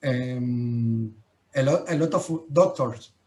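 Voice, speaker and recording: This man's pitch moves in an ordinary way. He talks very slowly. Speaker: English learner. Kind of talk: language class conversation. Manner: halting, many fillers.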